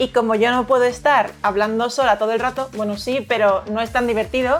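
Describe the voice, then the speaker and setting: A woman's normal speaking voice, fairly high-pitched and fairly quick, with fairly even intonation. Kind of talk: casual conversation.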